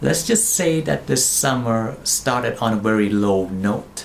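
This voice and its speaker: Speaking with a non-native accent, a man has an animated tone and lively intonation. His pace is fairly slow. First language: not English. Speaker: movie reviewer. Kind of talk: casual review monologue.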